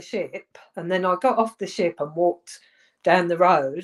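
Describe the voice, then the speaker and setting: A woman talks with an English accent at a moderate pace. Her pitch variation is ordinary. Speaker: former footballer. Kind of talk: interview.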